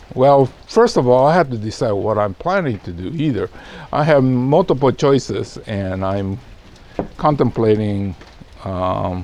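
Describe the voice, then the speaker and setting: Lively intonation and a relaxed tone come through at a fairly slow pace over noticeable background noise. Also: man, medium pitch for a man. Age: 70s. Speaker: bonsai nursery owner and video host. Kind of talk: casual monologue to camera. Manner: relaxed, hesitant with many fillers.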